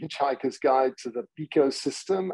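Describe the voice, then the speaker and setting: A man with an English accent speaks at a moderate pace and medium pitch, his tone dark and mellow. The sound is dry and close with no echo, and his pitch varies in an ordinary way. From England. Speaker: technology executive. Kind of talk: podcast interview.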